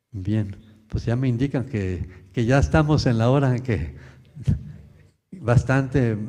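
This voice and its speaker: A man's dark, mellow, somewhat breathy voice at medium pitch, with ordinary pitch variation and a very slow pace. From Mexico. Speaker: lecturer. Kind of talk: Q&A after lecture.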